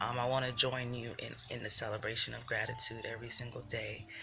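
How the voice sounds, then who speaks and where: The voice is soft-spoken. Noticeable background noise is present. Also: woman. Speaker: spiritual livestreamer. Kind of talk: livestream motivational talk. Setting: live video stream. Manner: animated.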